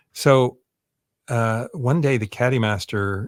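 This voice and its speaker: The recording is very clean, with a silent background. In it, a man talks. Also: dry, close sound with no echo. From US West Coast, East Oakland, California. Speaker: tech entrepreneur and website founder. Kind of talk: interview.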